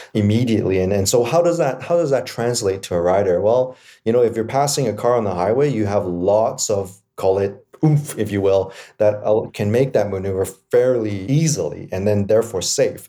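A man's fairly low, dark, mellow voice with a Canadian accent and ordinary pitch variation. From Canada, East Vancouver. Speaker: electric motorcycle company co-founder. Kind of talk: interview.

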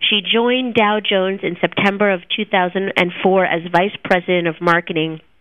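With ordinary pitch variation, the speech is delivered in an unremarkable speaking voice. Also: woman. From New Jersey. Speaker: podcast host. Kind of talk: interview.

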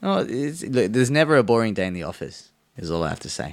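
Lively intonation in an Australian accent at a fairly quick pace. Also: man. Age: 20s. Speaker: lawyer. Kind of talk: casual chat.

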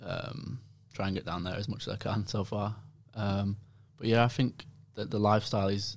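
A man talks in a fairly low register. He has a Lancashire accent. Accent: northern English, Bolton. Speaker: professional footballer. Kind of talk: casual interview chat.

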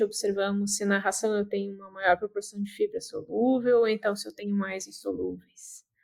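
A woman with a Brazilian accent talks at a moderate pace. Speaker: podcast host. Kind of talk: interview.

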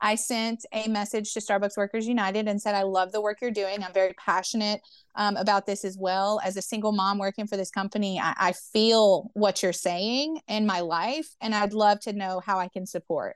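Over a quiet background, a woman with an American accent uses a plain, everyday voice at a medium pitch, keeping a moderate pace, fairly even intonation and hardly any pauses. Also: dry, close sound with no echo. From US South, Memphis, Tennessee. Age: 30s. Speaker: union organizer. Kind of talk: interview.

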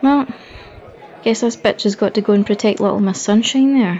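Against noticeable background noise, a woman with a Scottish accent speaks at a medium pitch with ordinary variation. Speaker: audio drama character. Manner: sarcastic, brash.

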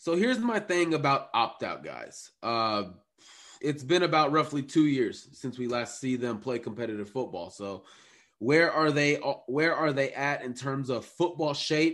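Fairly high male voice with lively intonation at a fairly slow pace against a quiet background. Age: 20s. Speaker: sports podcast co-host. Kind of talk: casual chat. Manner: animated.

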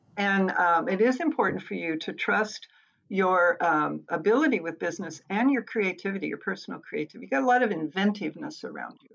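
A fairly quick pace with lively intonation, vocal fry and big swings in loudness. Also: woman, medium pitch for a woman. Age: 70s. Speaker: psychic consultant. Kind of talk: interview with psychic readings. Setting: remote recording. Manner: hesitant with fillers.

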